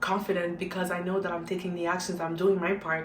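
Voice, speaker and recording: Amid noticeable background noise and audible room echo, a woman speaks at a fairly quick pace and a medium pitch. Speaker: YouTuber, motivational vlogger. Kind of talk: motivational monologue. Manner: animated.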